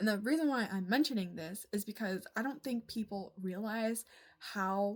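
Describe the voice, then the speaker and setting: Somewhat breathy, a woman speaks at fairly high pitch with lively intonation. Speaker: vlogger. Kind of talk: casual monologue.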